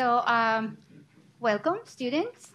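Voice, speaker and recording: A woman speaks in a somewhat breathy voice. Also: very clean recording, silent background. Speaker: panel moderator. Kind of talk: panel moderation. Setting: library event with audience.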